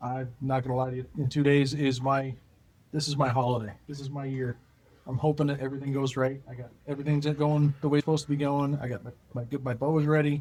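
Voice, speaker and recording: Speaking very fast, a man with an American accent keeps a monotone, flat intonation. His voice is fairly high and somewhat breathy. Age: 40s. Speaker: archery champion and YouTuber. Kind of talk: casual chat.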